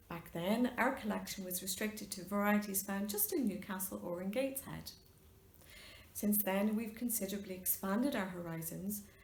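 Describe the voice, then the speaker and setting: A woman's medium-pitched voice at a moderate pace, fairly even in intonation, with noticeable background noise. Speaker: linguistics professor. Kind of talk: lecture introduction.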